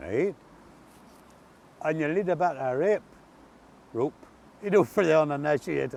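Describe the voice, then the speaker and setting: Someone with an Ulster accent speaks at a moderate pace with ordinary pitch variation and long, frequent pauses. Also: man, fairly high pitch for a man. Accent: Ulster-Scots. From Northern Ireland. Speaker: water service worker. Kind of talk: casual conversational storytelling.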